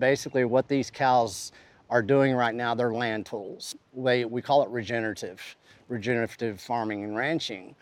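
A man of medium pitch with a West Texas accent and fairly even intonation, over a quiet background. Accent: West Texas drawl. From West Texas, Panhandle. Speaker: rancher and food activist. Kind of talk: interview.

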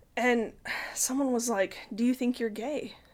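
In a very clean recording with a silent background, a high-pitched woman with an American accent speaks at a fairly slow pace. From Utah, Salt Lake City. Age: 30s. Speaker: podcast guest sharing life story. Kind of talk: personal testimony in casual interview. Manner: halting, with fillers and repetitions.

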